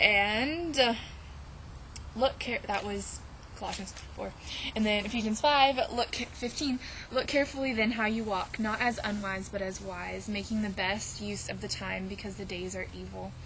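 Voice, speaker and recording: Noticeable noise fills the background. A woman speaks at a moderate speed. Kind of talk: casual vlog testimony. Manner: animated.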